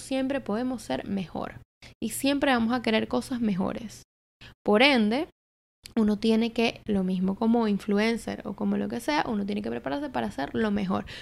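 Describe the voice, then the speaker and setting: In a normal speaking voice, a woman talks at a moderate pace with lively intonation and a fairly high pitch. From Venezuela, Caracas. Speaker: marketing entrepreneur and content creator. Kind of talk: casual chat. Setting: apartment.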